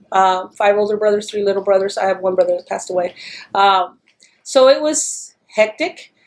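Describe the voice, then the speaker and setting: A woman with a Texan accent speaks at a medium pitch and a moderate pace. Her pitch varies in an ordinary way. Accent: Texan American English. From Texas, El Paso (border city). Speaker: interviewee. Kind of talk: oral history interview.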